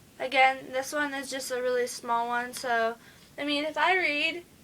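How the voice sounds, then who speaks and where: A woman's high-pitched voice moves at a fairly slow pace with fairly even intonation, while noticeable background noise runs beneath it. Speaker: book vlogger. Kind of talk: casual chat.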